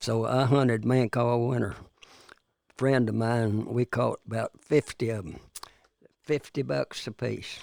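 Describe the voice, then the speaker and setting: Someone with a Texan accent speaks at a fairly slow pace, leaving long, frequent pauses. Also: man, medium pitch for a man, ordinary pitch variation. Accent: Texan Southern US. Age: 90s. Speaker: retired farmer. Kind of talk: casual interview. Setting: studio.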